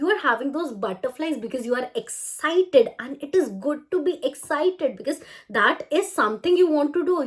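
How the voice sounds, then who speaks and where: Speaking at a fairly quick pace, the voice belongs to a woman. She has an Indian accent. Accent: natural Indian English. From India, Chandigarh. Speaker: language trainer. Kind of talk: tutorial. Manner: smiling, talkative.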